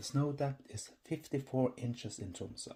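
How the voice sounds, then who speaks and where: A man with a Norwegian accent, medium pitch, a dark, mellow tone, somewhat breathy, at a moderate pace. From Norway. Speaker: podcast host. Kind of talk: humorous educational podcast narration. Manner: dry, humorous.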